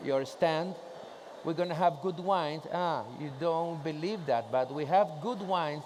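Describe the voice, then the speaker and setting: A man speaks at a fairly slow pace with a Spanish accent. His pitch is high, with ordinary variation. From Chile. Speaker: trade association president. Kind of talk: conference presentation. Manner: casual, joking.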